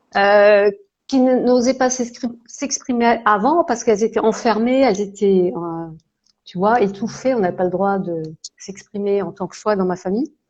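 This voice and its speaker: A woman at medium pitch speaks at a fairly slow pace with ordinary pitch variation. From France, Alsace (Strasbourg). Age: 60s. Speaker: holistic therapist and coach. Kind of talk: live interview, casual chat. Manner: hesitant, many fillers.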